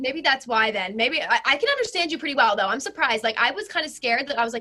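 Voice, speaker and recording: A woman with an American accent speaks very fast in a raised, projected voice. Her high-pitched, bright, sharp tone carries lively intonation. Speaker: social media creator. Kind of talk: casual chat.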